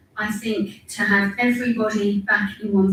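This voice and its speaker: Against noticeable background noise, a woman with a medium pitch talks at a moderate pace with fairly even intonation. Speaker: council staff member. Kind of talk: council meeting speech. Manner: loud.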